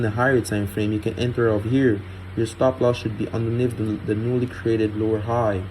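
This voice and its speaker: A man talks in an unremarkable speaking voice at a medium pitch. He keeps a fairly quick pace and fairly even intonation. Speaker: trading educator. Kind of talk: tutorial. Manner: casual.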